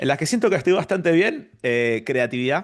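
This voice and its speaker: A man talking at a fairly quick pace against a quiet background. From Argentina. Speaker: engineer and business consultant. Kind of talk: interview.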